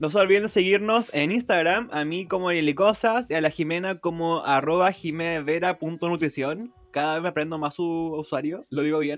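A man with a Chilean accent at a high pitch, with hardly any pauses, over noticeable background noise. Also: ordinary pitch variation, moderate pace. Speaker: podcast host. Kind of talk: casual chat.

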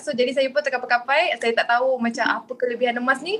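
There is noticeable background noise. A woman talks at a high pitch with fairly even intonation. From Kuala Lumpur, Malaysia. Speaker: communications executive and gold dealer. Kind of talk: podcast panel discussion.

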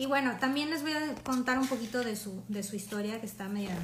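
There is audible room echo as a woman speaks. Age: 30s. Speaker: art history presenter. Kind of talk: lecture. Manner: casual, with filler hesitations.

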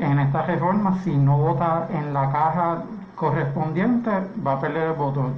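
A man's fairly high pitch with ordinary variation, a moderate pace and audible room echo. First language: English (speaking Spanish). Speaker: political candidate. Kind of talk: radio panel discussion.

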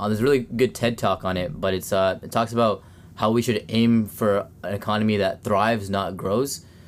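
A man speaks at a fairly quick pace in a Canadian accent, with a plain, everyday voice. His pitch is fairly low and his intonation fairly even. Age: 20s. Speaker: podcast host, student environmentalist. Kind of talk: casual chat. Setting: home basement studio.

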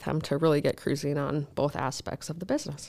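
A woman with an Upper Midwest accent, very deep, low pitch and vocal fry, on a very clean recording with a silent background. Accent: Upper Midwest American. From northern Minnesota. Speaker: remodeling business owner and blogger. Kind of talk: interview.

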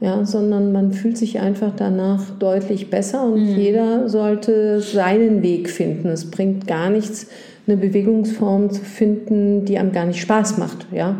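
Over noticeable background noise and audible room echo, a woman talks at a fairly slow pace in a medium pitch with monotone, flat intonation. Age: 60s. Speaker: gynecologist. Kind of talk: casual chat. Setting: doctor's office.

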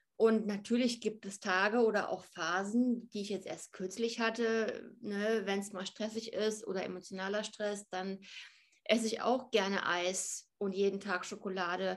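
The speech moves at a fairly slow pace in a flat, monotone delivery. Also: woman, medium pitch for a woman. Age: 30s. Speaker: fitness and nutrition influencer. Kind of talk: interview.

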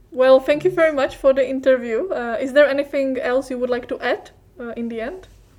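A high-pitched woman's voice in a Czech accent, fairly quick, with ordinary pitch variation. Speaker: podcast co-host. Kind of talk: interview.

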